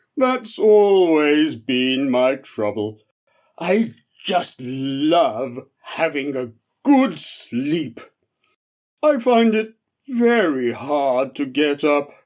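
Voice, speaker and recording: A man puts on a character voice, speaking at a very slow pace in a fairly high pitch. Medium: read story. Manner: slow, drowsy, kindly.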